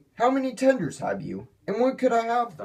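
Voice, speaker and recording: Using a put-on character voice, a man talks at a moderate pace with an extremely high pitch. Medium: read story. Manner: self-important.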